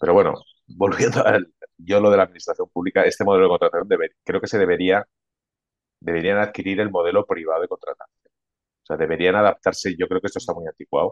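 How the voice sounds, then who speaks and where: Very fast delivery in a dry, close sound with no echo. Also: man. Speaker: IT consulting manager. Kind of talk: casual interview.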